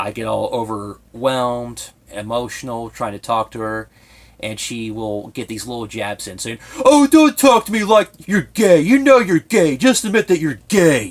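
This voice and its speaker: At a fairly slow pace, a man talks with a slight Southern Ohio accent. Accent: slight Southern Ohio twang. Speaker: YouTuber. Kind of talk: personal vlog monologue. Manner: effeminate-sounding speech; tongue clicking, heavy breathing.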